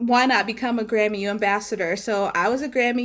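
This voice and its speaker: This woman talks at a moderate pace with an American accent and ordinary pitch variation, on a very clean recording with a silent background. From Maryland, US. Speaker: founder of women-in-music publication. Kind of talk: interview.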